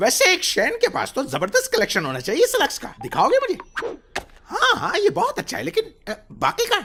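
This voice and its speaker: A cartoonish character voice at an extremely high pitch moves at a fairly quick pace. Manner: pompous, flowery speech.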